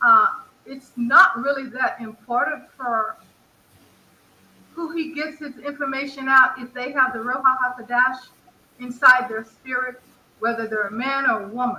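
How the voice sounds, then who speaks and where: Her high-pitched voice is raised and projected as this woman talks with long, frequent pauses. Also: fairly even intonation, moderate pace, big swings in loudness. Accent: American. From Texas. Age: 60s. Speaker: caller. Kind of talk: casual chat. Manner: halting.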